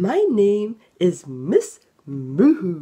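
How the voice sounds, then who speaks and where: A woman does a put-on character voice at a medium pitch. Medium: read story. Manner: gentle, encouraging.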